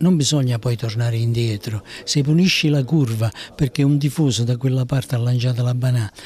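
With a dark, mellow tone and a somewhat breathy quality, a man speaks at a medium pitch and a fairly quick pace, keeping very even loudness and ordinary pitch variation in a dry sound with no echo. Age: 70s. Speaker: youth football coach. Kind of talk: interview. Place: meeting room. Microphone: handheld.

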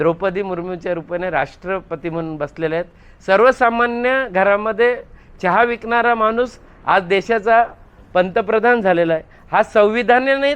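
A man talks at a high pitch. His pitch varies in an ordinary way. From Ghansoli, Navi Mumbai, Maharashtra. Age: 50s. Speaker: local politician. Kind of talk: media interview. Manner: rhetorical, speech-like.

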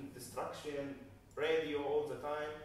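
A man with an Arabic accent speaks at a fairly high pitch amid strong room echo and light background noise. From Gaza, Palestine. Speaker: documentary filmmaker. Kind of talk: post-screening Q&A. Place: hall. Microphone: camera far.

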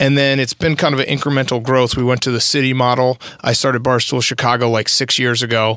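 Very fast male speech with hardly any pauses, monotone and flat, in a dry sound with no echo against a quiet background. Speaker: sports podcast host. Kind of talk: casual chat. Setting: studio. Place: studio. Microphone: studio mic.

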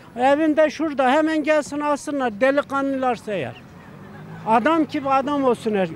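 Against crowd noise in the background, a man with an extremely high pitch talks at a moderate pace, the sound dry with no echo. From Turkey. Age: 70s. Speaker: retired shopkeeper, street interviewee; interviewee. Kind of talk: street interview. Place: street. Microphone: handheld.

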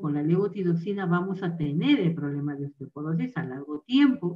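A woman speaks at a moderate pace with a fairly low pitch and ordinary pitch variation.

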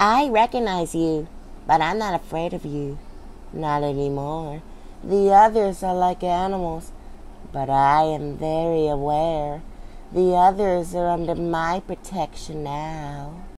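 A put-on character voice at a middle pitch goes at a fairly slow pace over clear background noise. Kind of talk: character voice impression.

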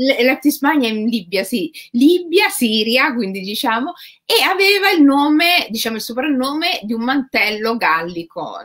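With very wide pitch swings, a woman with a high voice speaks at a fairly slow pace. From Rome, Italy. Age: 40s. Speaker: writer. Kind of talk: interview conversation. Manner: halting, many fillers.

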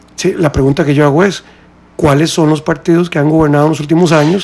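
Speaking at a fairly quick pace, the man has a high-pitched voice. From Costa Rica. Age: 40s. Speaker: presidential candidate; interview guest, candidate. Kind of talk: radio interview. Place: studio. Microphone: studio mic.

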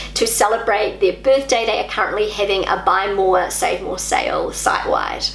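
A woman talking at a moderate pace with hardly any pauses, audible room echo and light background noise. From New Zealand. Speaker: YouTuber. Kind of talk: vlog monologue. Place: home room.

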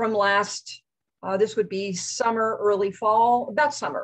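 A woman speaks at a moderate pace with a quiet background. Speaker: guest. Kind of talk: lecture. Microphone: video call.

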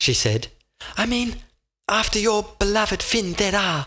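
A man's animated, theatrical delivery at a fairly slow pace. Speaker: audiobook narrator. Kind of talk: scripted audiobook narration of a whimsical animal fantasy, dramatic storytelling. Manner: animated, theatrical, switching between character voices, dramatic pacing.

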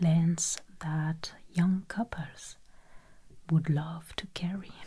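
The voice is soft-spoken and very slow. The background is quiet. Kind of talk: educational narration. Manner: soft-spoken, hushed ASMR voice.

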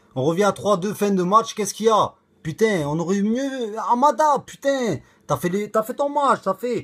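Over a quiet background, a man speaks in a high pitch. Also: lively intonation, moderate pace. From Toulouse, southern France; southern France. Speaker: football fan vlogger. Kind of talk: casual rant to camera. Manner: animated; loud. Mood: frustrated but joking. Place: home room. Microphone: phone near.

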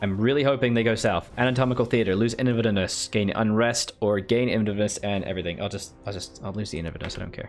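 A man talks at a very fast pace with hardly any pauses, his pitch fairly low with ordinary variation. Faint music plays in the background. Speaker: video game streamer. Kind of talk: live gameplay commentary. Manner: casual, thinking aloud. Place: home room.

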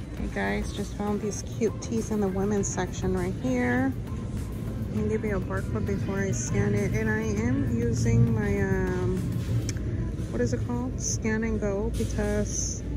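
A woman at a fairly slow pace, dry sound with no echo, clear music in the background. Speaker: shopping vlogger. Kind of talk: casual vlog chat. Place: shop. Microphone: phone near.

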